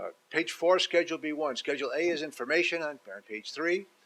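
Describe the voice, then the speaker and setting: This man speaks at a fairly high pitch. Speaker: title insurance lawyer and seminar presenter. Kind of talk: seminar presentation to a live audience. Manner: fast.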